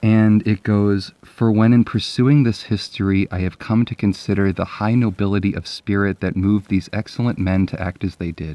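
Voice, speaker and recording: Fairly low in pitch, a man speaks in an ordinary speaking voice at a fairly quick pace with fairly even intonation. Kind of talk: casual talk to camera, book commentary and reading. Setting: indoors at night, sitting in bed.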